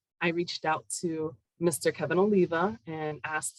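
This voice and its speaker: A woman with a Spanish accent speaks at a very deep, low pitch. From Puerto Rico, then Connecticut from second grade. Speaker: university academic director. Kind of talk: interview.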